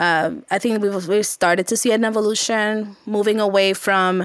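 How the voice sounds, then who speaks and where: In an ordinary speaking voice, a woman talks at a moderate pace with ordinary pitch variation, the sound dry and close with no echo. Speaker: sales marketing executive. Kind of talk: interview conversation.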